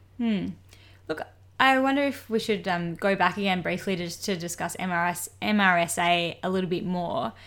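A woman with an ordinary speaking voice, pitched in the middle range and with ordinary pitch variation. She talks at a moderate pace in a very clean recording against a silent background. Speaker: doctor, medical podcast co-host. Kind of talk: educational medical podcast chat.

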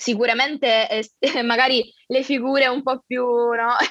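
At a very slow pace, a woman talks in a high pitch. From Sicily, Catania. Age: 20s. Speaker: university student with a rare disease. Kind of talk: personal testimony in interview.

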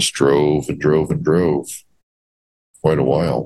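Very slowly and with vocal fry, a man talks at a very deep, low pitch with fairly even intonation. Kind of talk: personal testimony storytelling. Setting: video call.

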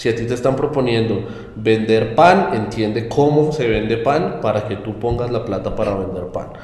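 A man with ordinary pitch variation, heard through audible room echo and noticeable background noise. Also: medium pitch for a man, moderate pace. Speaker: investment firm co-founder. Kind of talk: interview.

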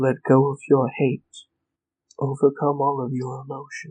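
This man puts on a character voice at a medium pitch. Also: moderate pace. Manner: eerie, commanding.

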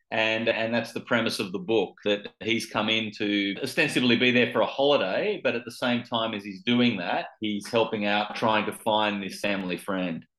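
A man with an Australian accent, talking with hardly any pauses. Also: medium pitch for a man, ordinary pitch variation, moderate pace. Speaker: author. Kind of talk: interview.

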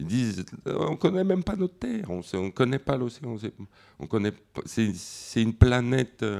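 This man talks at a fairly slow pace, stopping often for long pauses. His pitch swings very widely. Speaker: comics artist. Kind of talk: festival panel talk.

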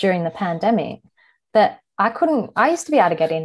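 Against a quiet background, a woman speaks at a fairly quick pace in a somewhat breathy voice. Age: 30s. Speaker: podcast guest sharing insomnia experience. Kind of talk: personal testimony.

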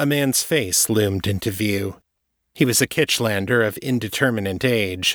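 An unforced reading voice comes through with ordinary pitch variation. Behind it, the background stays quiet.

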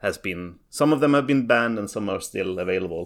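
In a Swedish accent, a man speaks on a very clean recording with a silent background. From Sweden. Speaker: competitive card game player. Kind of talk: casual chat.

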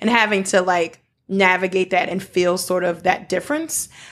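The speaker has a normal speaking voice with an American accent. Pace is moderate and pitch variation is ordinary. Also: woman. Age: 40s. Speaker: nonprofit founder and returned volunteer. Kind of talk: interview. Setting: dining room table.

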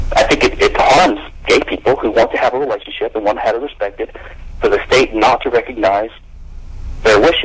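A man talks at a very fast pace with an American accent. Noticeable background noise sits behind him. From US South, Louisiana (Baton Rouge). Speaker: attorney and libertarian theorist. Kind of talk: interview. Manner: hesitant, many fillers.

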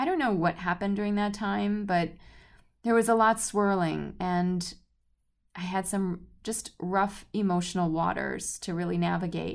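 An ordinary speaking voice at a moderate pace, with fairly even intonation, on a very clean recording over a silent background. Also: woman, medium pitch for a woman. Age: 40s. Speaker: podcast host and color healing author. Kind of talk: solo podcast monologue. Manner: warm, conversational.

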